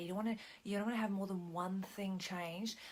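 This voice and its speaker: A woman speaks at a fairly quick pace, somewhat breathy and with fairly even intonation. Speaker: business coach. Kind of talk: video tutorial. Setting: at home at night. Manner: soft-spoken; halting.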